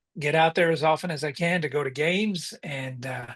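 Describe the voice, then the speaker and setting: Against a quiet background, a man with an American accent speaks at a moderate pace in a fairly high pitch with ordinary pitch variation. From US South, coastal North Carolina. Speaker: marriage and family therapist. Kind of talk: podcast interview.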